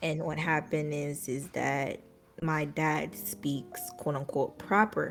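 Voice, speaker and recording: Music plays in the background. A woman with an American accent speaks at a very slow pace. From US, Jamaican family. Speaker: streamer. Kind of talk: interview. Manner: halting, many fillers.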